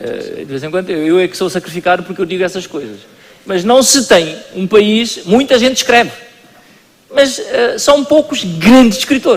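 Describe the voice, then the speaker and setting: A high-pitched man talks with lively intonation and big swings in loudness, with noticeable background noise. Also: moderate pace. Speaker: culture minister. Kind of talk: panel discussion. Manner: halting.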